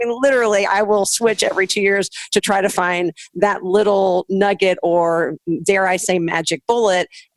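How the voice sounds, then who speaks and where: With a Southern US accent, a woman talks at medium pitch with ordinary pitch variation. The sound is dry and close, with no echo. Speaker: podcast co-host and TV host. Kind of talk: casual interview chat.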